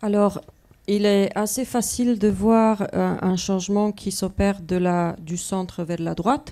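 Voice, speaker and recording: A woman's voice has a dark, mellow tone and fairly even intonation. She speaks at a very slow pace. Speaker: civil society observatory representative; panelist. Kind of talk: panel discussion. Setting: stage with audience. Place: hall. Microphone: handheld.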